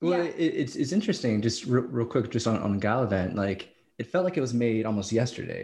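Speaking at a very fast pace, a man uses lively intonation. His medium-pitched voice is somewhat breathy. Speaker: podcast host. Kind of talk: casual chat.

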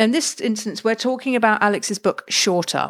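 A woman with an English accent at a moderate pace. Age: 40s. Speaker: podcast host. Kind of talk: scripted intro; interview. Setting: studio.

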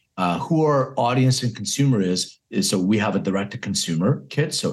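A man speaks with an American accent at a moderate pace. His pitch swings very widely. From Philadelphia, US. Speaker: cannabis health company CEO. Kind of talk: interview.

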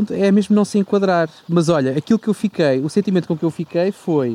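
The man's pitch is high, his pace fairly quick, and his intonation lively. The sound is dry and close with no echo. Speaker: podcast co-host. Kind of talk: casual chat.

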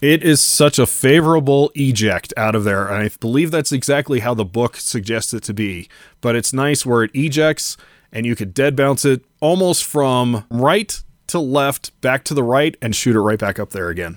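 Recorded very cleanly with a silent background and a dry, close sound with no echo, a man with an unremarkable speaking voice speaks at a medium pitch and a moderate pace with lively intonation. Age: 40s. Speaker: pinball streamer and collector. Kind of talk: casual interview chat.

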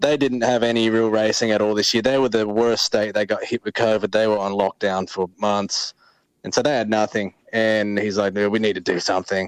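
Fairly low in pitch, a man speaks at a fairly quick pace with an Australian accent and monotone, flat intonation. The sound is dry and close with no echo. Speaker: motocross racer. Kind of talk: casual chat. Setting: phone call.

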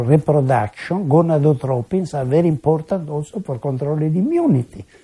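A dark, mellow, somewhat breathy voice with lively intonation. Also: man. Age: 80s+. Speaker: medical researcher. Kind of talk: interview. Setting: his home.

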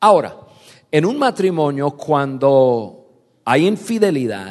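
A man's fairly high voice with very wide pitch swings and a non-native accent. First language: not Spanish (speaking Spanish). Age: 50s. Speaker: pastor. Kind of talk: sermon. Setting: stage with audience. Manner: direct, blunt.

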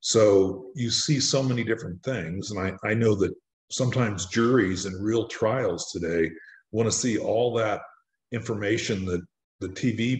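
Against a quiet background, a man with an American accent talks at a moderate pace in a fairly low, somewhat breathy voice with ordinary pitch variation. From US Midwest, central Illinois. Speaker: crime writer. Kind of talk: interview. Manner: halting, many fillers.

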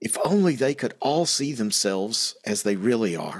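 Over a very clean recording with a silent background, a man talks at a moderate pace with vocal fry and very wide pitch swings. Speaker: podcast host. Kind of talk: casual Bible study discussion.

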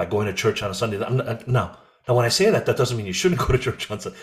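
A man with an American accent, somewhat breathy in voice. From USA (Korean American). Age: 50s. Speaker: president of an evangelical ministry organization. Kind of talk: interview conversation.

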